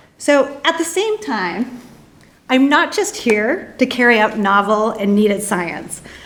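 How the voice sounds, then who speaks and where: A woman with an American accent at a fairly high pitch, with audible room echo. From United States. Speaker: psychology professor. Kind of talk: conference presentation.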